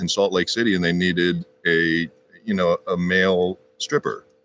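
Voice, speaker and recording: A man with an American accent speaks at a moderate pace in a plain, everyday voice, recorded with a dry, close sound and no echo. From Texas. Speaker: actor and stuntman. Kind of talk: casual chat.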